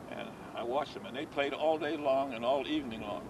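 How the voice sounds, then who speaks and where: With background noise clearly present, a man's speech moves fairly quickly. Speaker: bocce league founder. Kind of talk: interview answer.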